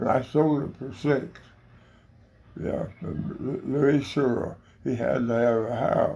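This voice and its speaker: This man speaks very slowly with an American accent and a dark, mellow tone. His voice shows vocal fry, and he leaves long, frequent pauses. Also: medium pitch for a man, ordinary pitch variation. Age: 80s+. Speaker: elderly storyteller. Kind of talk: casual chat. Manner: halting, repetitive stammering.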